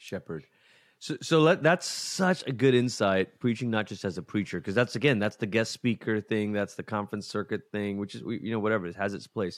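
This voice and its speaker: A normal speaking voice at a fairly quick pace with ordinary pitch variation, in a very clean recording with a silent background and a dry, close sound free of echo. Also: man, fairly low pitch for a man. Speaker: pastor, podcast co-host. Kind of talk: casual chat.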